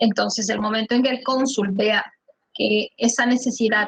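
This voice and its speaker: In an unremarkable speaking voice, a woman with a fairly high pitch talks at a moderate pace with fairly even intonation, the sound dry and close with no echo. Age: 40s. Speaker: immigration lawyer. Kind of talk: online conference Q&A.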